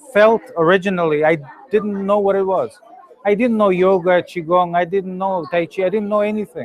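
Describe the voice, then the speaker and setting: A high-pitched man speaks over noticeable background noise. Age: 40s. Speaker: energy healing teacher. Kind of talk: Q&A after a workshop. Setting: public talk without microphone.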